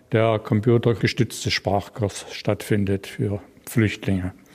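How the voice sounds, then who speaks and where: In a very clean recording with a silent background, a man speaks fairly slowly in a dark, mellow tone. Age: 60s. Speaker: retired IT worker, volunteer language mentor. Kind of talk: interview.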